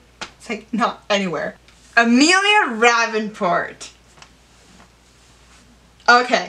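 With noticeable background noise behind her, a woman speaks at a very slow pace with long, frequent pauses and lively intonation. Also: fairly high pitch for a woman. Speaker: writer. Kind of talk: casual talk to camera.

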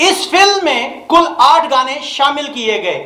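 At a slow pace, a man talks in an extremely high voice with a bright, sharp tone.

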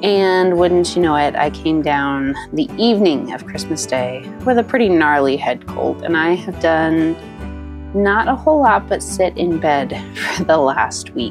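Background music runs under the voice. The talking proceeds fairly slowly. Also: woman. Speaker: homeschooling mother. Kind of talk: casual vlog voiceover.

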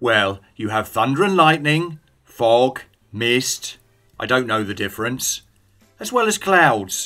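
A man speaks at a fairly slow pace with lively intonation. Music plays in the background. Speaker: English teacher. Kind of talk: scripted dialogue for English learners.

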